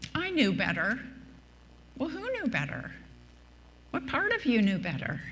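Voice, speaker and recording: A woman speaks with audible room echo. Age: 70s. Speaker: minister. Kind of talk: sermon.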